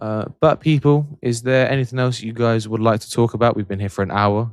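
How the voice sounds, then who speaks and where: A man with a medium pitch talks at a fairly quick pace with hardly any pauses and ordinary pitch variation. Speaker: football livestream host. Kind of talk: casual live stream chat. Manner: low energy. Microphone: mic very close to mouth.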